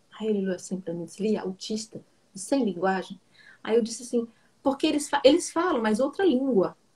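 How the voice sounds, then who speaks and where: A woman with a dark, mellow tone swings her pitch very widely, keeping a moderate pace broken by long, frequent pauses. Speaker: psychoanalyst. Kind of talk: casual chat. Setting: live stream video call.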